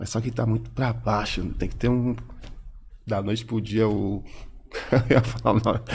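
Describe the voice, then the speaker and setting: A man's fairly low, flat monotone with vocal fry, moderate pace and long, frequent pauses. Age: 50s. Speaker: rapper. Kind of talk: casual chat.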